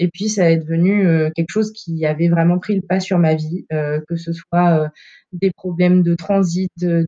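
A woman with a dark, mellow tone and fairly low pitch speaks at a fairly slow pace in a somewhat breathy, monotone, flat delivery, with a dry, close sound and no echo. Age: 30s. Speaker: former coaching client, factory technician. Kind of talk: testimony in casual interview.

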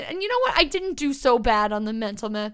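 A woman speaks loudly in an energetic tone. Her pace is very fast. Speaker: podcast co-host. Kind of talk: casual chat.

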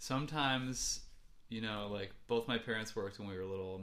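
A man speaks with a Midwestern American accent at a moderate pace. His tone is bright and sharp, with audible room echo. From US Midwest, Ann Arbor, Michigan. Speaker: musician. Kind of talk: casual chat.

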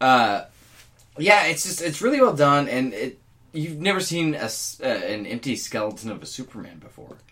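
A man's fairly high voice with a bright, sharp tone, lively intonation, big swings in loudness and a moderate pace. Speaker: podcast co-host. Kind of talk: casual chat.

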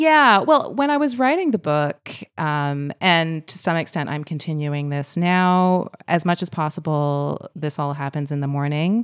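A woman with an ordinary speaking voice and a fairly low pitch talks at a fairly slow pace with ordinary pitch variation and hardly any pauses. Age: 40s. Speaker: author and English teacher. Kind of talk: casual interview. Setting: in person.

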